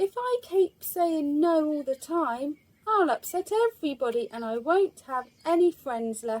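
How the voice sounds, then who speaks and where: Using a put-on character voice, a woman with a high pitch talks at a fairly slow pace with very wide pitch swings and hardly any pauses, in a dry, close sound with no echo. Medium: read story.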